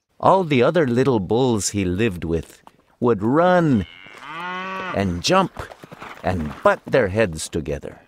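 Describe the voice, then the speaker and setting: A man's medium-pitched voice with a Spanish accent, at a very slow pace with very wide pitch swings. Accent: gentle Spanish. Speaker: voice actor. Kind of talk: children's audiobook narration. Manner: leisurely, gentle.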